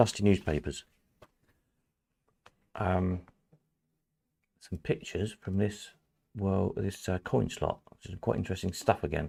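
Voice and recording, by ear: A man puts on a croaky character voice with very deep, low pitch and ordinary pitch variation. He keeps a moderate pace with long, frequent pauses.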